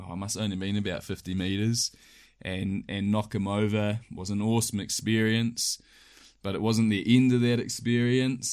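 A man with a New Zealand accent speaks at a moderate pace in a flat monotone against a quiet background. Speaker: hunting guide. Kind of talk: casual chat. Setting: recorded in sleeping bags indoors.

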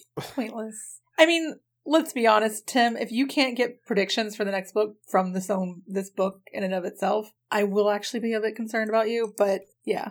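In a very clean recording with a silent background, a woman has an ordinary speaking voice, fairly high in pitch with ordinary pitch variation, at a moderate pace. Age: 30s. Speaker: podcast co-host. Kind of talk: casual chat.

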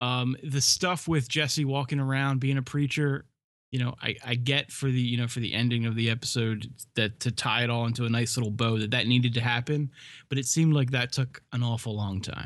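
A man's unremarkable speaking voice, medium in pitch, at a fairly quick pace with fairly even intonation against a quiet background. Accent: American. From US East Coast, north. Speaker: podcast co-host. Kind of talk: casual chat.

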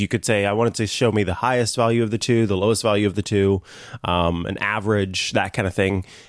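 A man's normal speaking voice, fairly low in pitch and fairly quick in pace, in a very clean recording with a silent background. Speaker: radio/podcast host and tech broadcaster. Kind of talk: casual chat. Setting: home studio.

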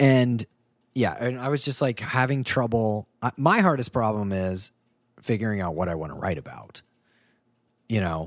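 With long, frequent pauses, a man talks at a moderate pace and medium pitch with lively intonation on a very clean recording with a silent background. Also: dry, close sound with no echo. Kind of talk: casual chat. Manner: animated.

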